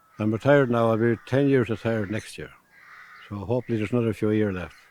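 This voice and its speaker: The speaker has an Irish Midlands accent. Pitch variation is ordinary. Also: man. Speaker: retired fitter. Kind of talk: interview. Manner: halting.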